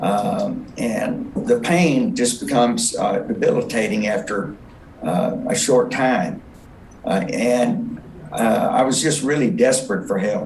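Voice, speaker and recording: A man with a fairly high pitch speaks at a very slow pace, with very wide pitch swings. Audible room echo surrounds his voice. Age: 70s. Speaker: patient. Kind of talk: testimony. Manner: halting, many fillers.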